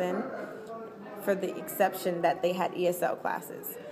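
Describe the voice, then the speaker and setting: An American accent amid audible room echo and noticeable background noise. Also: woman. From Texas, Dallas area. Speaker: college student interviewee. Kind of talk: testimony.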